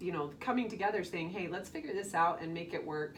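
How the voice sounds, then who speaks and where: There is audible room echo as a woman speaks with lively intonation. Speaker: podcast co-host, betrayed spouse. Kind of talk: casual podcast chat. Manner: quiet.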